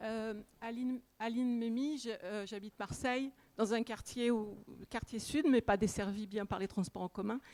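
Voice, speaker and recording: At a fairly slow pace, an ordinary speaking voice talks with fairly even intonation. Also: woman, fairly high pitch for a woman. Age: 60s. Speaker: audience member. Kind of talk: public question.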